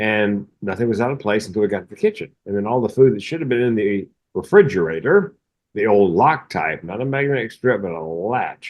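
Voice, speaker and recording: A man with a plain, everyday voice talks at a fairly quick pace and a fairly low pitch. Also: ordinary pitch variation. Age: 60s. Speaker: mental health comedian. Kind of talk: casual chat.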